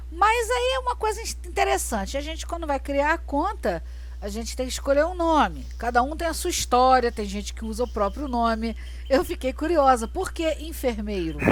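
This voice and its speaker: With a Carioca accent, a woman speaks at a moderate pace amid audible room echo. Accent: Carioca accent, noticeable. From Rio de Janeiro, Brazil. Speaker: podcast host. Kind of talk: podcast interview.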